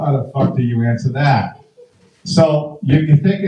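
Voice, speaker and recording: A man's fairly high, somewhat breathy voice at a moderate pace with ordinary pitch variation. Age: 60s. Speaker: comedian. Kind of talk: stand-up.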